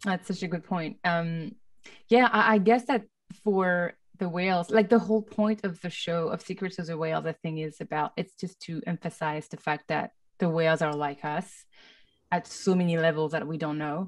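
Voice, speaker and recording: Speaking at a moderate pace with a French accent, a woman uses a fairly low pitch and ordinary pitch variation against a quiet background. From France. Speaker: film composer. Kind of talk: panel discussion. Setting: video call. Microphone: studio mic.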